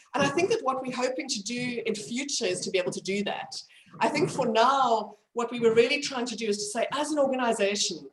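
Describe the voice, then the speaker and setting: A woman with a high pitch talks at a very fast pace with lively intonation. Audible room echo is present. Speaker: medical educator. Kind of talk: lecture. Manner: hesitant with fillers.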